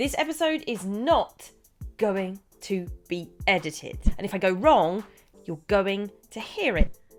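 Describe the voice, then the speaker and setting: Music plays behind a woman with a medium pitch, speaking fairly slowly with long, frequent pauses. Her pitch swings very widely and her loudness rises and falls sharply. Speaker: podcast host; teacher. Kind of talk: unedited podcast monologue. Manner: casual, stumbling over words at times.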